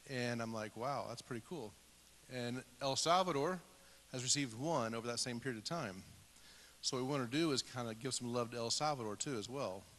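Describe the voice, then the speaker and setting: Over a quiet background, a man with an American accent speaks fairly quickly at a medium pitch in an unremarkable speaking voice. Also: ordinary pitch variation. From Indiana, US. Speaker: missionary field coordinator. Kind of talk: church announcement and introduction. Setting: church service.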